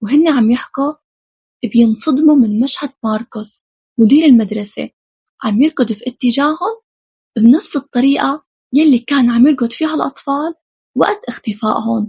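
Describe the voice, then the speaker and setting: A woman at a high pitch with lively intonation and a moderate pace. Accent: Syrian. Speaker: film recap narrator. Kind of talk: horror film plot recap. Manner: casual, chatty.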